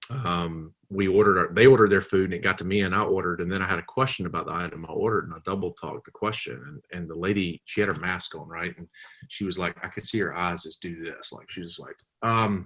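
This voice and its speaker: A man with a Southern US accent talks at a very fast pace in a very deep, low voice, with big swings in loudness. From US South. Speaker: comedian and public pranker. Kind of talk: casual interview chat. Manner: animated.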